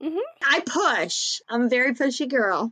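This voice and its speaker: A woman with an American accent speaks in a high pitch, the sound dry and close with no echo. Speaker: true crime podcaster and baker. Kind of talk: casual interview chat.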